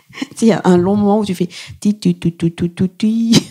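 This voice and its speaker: A woman's dark, mellow voice comes through somewhat breathy, with a dry, close sound and no echo. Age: 30s. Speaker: stand-up comedian. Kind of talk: casual chat. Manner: fast; animated.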